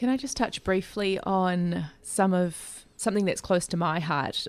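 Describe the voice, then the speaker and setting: A woman speaks with an Australian accent at a fairly low pitch. The background is quiet. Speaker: community radio co-host. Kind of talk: interview. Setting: studio.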